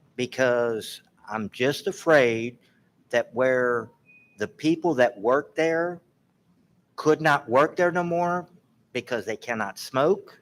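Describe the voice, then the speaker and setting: A man speaks at a very slow pace with lively intonation and long, frequent pauses. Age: 60s. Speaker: public commenter at city council. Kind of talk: public comment. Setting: council meeting.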